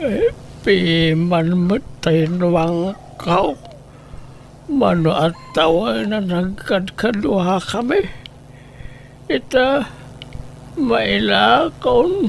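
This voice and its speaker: A put-on character voice at a middle pitch moves at a very slow pace, with long, frequent pauses. Clear background noise sits behind it. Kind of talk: comic family drama. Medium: audio drama.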